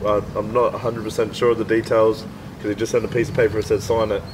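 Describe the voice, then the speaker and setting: Noticeable background noise sits behind a man with an Australian accent. He talks at a fairly quick pace in a monotone, flat intonation. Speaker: podcast host and MMA fighter. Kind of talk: casual chat. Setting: outdoors.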